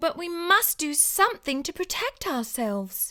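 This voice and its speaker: A female-sounding put-on character voice at an extremely high pitch. It moves at a moderate pace with very wide pitch swings. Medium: read story.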